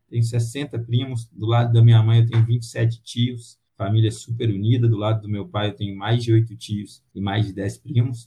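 A man's somewhat breathy, medium-pitched voice in a monotone, flat intonation. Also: moderate pace. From Brazil, Minas Gerais (Pará de Minas). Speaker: sales development lead. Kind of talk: casual interview.

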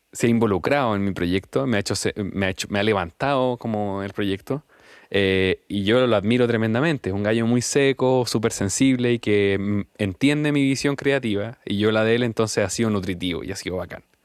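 A man speaks at a fairly quick pace with a fairly low pitch and ordinary pitch variation. The recording is very clean, with a silent background. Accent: Chilean. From Chile, Temuco. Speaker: musician. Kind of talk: interview.

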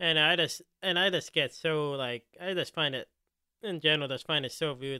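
A man with a normal speaking voice speaks with an American accent. His pitch is fairly high, with ordinary pitch variation. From US Northeast, Philadelphia. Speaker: podcast host. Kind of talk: casual chat.

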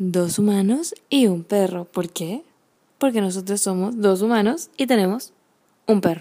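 A very clean recording with a silent background, carrying a woman's dark, mellow tone. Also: medium pitch for a woman, ordinary pitch variation, fairly slow pace. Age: 20s. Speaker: podcast co-host, healthy cooking creator. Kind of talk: casual chat.

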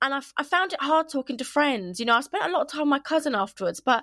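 A woman speaks with a southern English accent and very wide pitch swings. The sound is dry and close, with no echo. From England, Kent. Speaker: podcast host. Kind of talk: casual chat. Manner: fast talker; loud.

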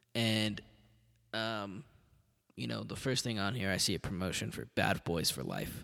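Here a man talks at a fairly quick pace with an American accent. Vocal fry runs through his voice. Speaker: podcast host. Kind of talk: casual solo monologue. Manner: rambling, profane.

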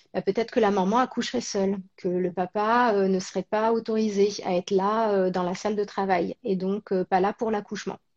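A woman's normal speaking voice, medium in pitch, with fairly even intonation and a fairly slow pace. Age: 30s. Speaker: actress and presenter. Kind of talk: casual interview chat. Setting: live stream.

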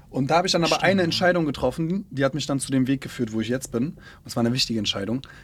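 A man delivers his words at a very fast clip. His medium pitch shifts with ordinary variation. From Berlin. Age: 20s. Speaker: influencer manager. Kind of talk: casual interview.

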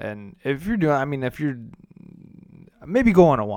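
A man speaks fairly quickly with an American accent. He has an unremarkable speaking voice and lively intonation. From US Midwest, downstate Illinois. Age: 30s. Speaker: podcast host. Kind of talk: casual solo monologue.

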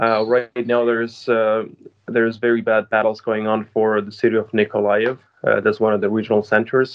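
At a moderate pace, a man talks in a monotone, flat delivery at medium pitch. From Ukraine, Odessa region. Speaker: interviewee. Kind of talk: interview.

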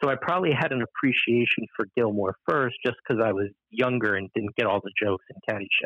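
Barely pausing, a man talks very fast at a medium pitch with ordinary pitch variation. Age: 30s. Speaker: pop culture commentator. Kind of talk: casual chat.

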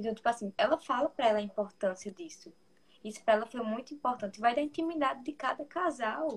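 A woman's high-pitched voice at a very fast pace with lively intonation. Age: 20s. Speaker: psychology student. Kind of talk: casual chat.

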